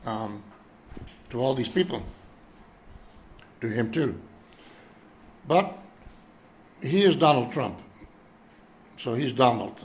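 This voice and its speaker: Somewhat breathy and at a medium pitch, a man talks at a fairly slow pace with long, frequent pauses. His intonation is lively, and room echo is audible. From Europe. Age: 70s. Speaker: vlogger. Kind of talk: personal monologue. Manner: hesitant, many fillers.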